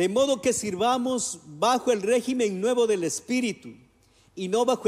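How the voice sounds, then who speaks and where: The speaker has an Ecuadorian accent and talks at a moderate pace. Pitch variation is ordinary. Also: man. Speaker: pastor. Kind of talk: sermon.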